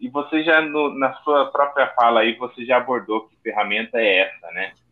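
A man talks at a moderate pace. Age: 30s. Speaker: podcast co-host, recovering addict. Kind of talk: casual podcast chat.

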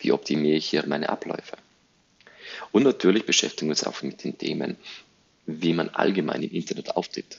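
A man speaks at a fairly quick pace. He leaves long, frequent pauses. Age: 30s. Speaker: podcast host, digital agency owner. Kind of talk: solo podcast introduction monologue.

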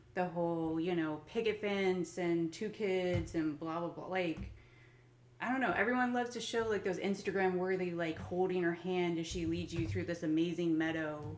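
A woman speaks at a fairly low pitch with ordinary pitch variation. Her moderate pace comes with audible room echo. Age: 30s. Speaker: podcast host and business owner. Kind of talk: casual chat. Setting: at home.

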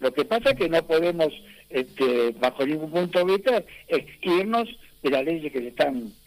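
This man's voice is high in pitch, with lively intonation. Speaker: boxing federation president. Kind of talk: radio interview. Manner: halting.

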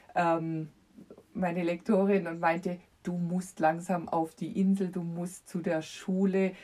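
A woman speaks very slowly at a fairly low pitch, her tone dark and mellow. Her intonation stays monotone and flat. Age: 50s. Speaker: children's book author. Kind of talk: casual chat.

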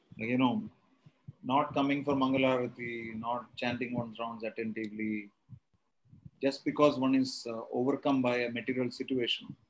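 Speaking in a Tamil accent, a man talks at a moderate pace and medium pitch with monotone, flat intonation. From India, Kerala. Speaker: spiritual teacher leading scripture class. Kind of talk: lecture. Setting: video call.

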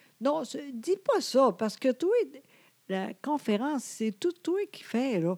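Very slowly, a woman speaks in a dark, mellow tone with very wide pitch swings and big swings in loudness, on a very clean, dry, close recording with no echo and a silent background. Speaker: podcast co-host. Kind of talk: casual chat. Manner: trying to speak slowly, sometimes halting.

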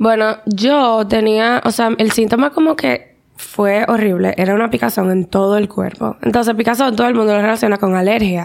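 In a normal speaking voice, a woman talks at a moderate pace with a fairly high pitch, ordinary pitch variation, very even loudness and hardly any pauses. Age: 20s. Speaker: teacher and psychology student, cancer survivor. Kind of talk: testimony.

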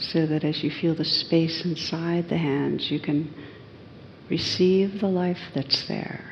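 A woman speaks in a fairly low voice. Her tone is calm and soothing. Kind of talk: guided meditation. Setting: evening group session, in a room with others. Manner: slow, soft and unhurried, with long pauses between gentle phrases; calm, soothing and inviting, with a warm, gentle tone.

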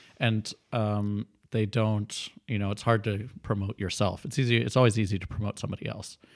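Here a man talks at a fairly quick pace in a monotone, flat intonation. The recording is very clean, with a silent background. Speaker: improviser. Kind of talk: casual interview chat.

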